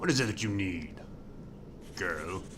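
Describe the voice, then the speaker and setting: Against loud background noise, a man uses a put-on character voice at a fairly low pitch. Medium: game stream. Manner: guarded, evasive.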